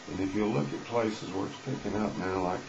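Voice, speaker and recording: A man speaks at a moderate pace with fairly even intonation. Noticeable background noise and audible room echo are present. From Texas. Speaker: unemployed worker vlogger. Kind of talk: political monologue. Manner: earnest, conversational.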